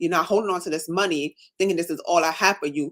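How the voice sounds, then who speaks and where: A woman's fairly low-pitched voice, very fast pace and animated tone. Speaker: nurse and coaching client. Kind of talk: casual chat on a livestream.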